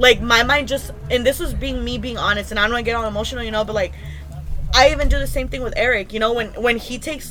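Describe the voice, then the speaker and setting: Very fast speech comes from a woman. Audible room echo and noticeable background noise surround her voice. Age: 20s. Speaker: podcast guest. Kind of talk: casual chat.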